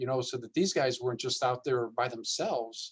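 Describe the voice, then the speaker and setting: A man speaks here. His voice sits at a medium pitch. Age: 60s. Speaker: diocesan development staff. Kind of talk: panel discussion. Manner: hesitant, many fillers.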